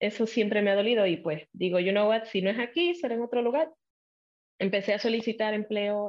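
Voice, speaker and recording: A woman talks at a fairly quick pace in a Puerto Rican accent. Her pitch is medium, with ordinary variation. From Puerto Rico. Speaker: TV journalist. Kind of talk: casual interview chat.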